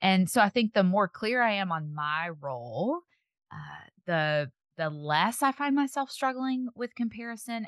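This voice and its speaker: A woman talks at a fairly slow pace with very wide pitch swings, in a dry, close sound with no echo and a quiet background. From Tennessee. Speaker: podcaster, speaker and author. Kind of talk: casual interview chat.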